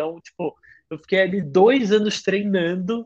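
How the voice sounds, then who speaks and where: A man talks with ordinary pitch variation. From Rio de Janeiro, Brazil. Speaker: singer-songwriter. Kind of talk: casual chat. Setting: remote call from his bedroom. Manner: halting.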